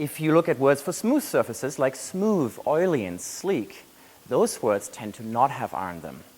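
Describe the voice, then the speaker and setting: Fairly high male voice in a German accent, at a moderate pace, with very wide pitch swings and big swings in loudness. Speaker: graduate student researcher. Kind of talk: competition research talk.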